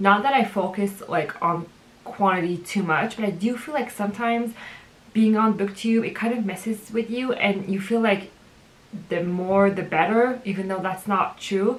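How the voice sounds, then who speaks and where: A woman with a French accent speaks at a moderate pace, her medium pitch held to fairly even intonation. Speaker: book vlogger. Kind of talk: casual vlog monologue. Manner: casual, hesitant with fillers.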